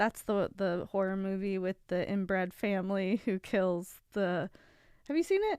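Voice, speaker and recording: A woman's normal speaking voice, medium in pitch, with an American accent, fairly even intonation and a fairly slow pace, in a very clean recording with a silent background and a dry, close sound with no echo. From West Virginia. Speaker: podcast co-host. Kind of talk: casual chat.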